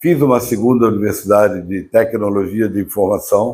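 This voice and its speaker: A man talks at a moderate pace and medium pitch, his dark, mellow tone carrying ordinary pitch variation. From Brazil, Rio de Janeiro. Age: 70s. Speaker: businessman, former IT professional. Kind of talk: interview.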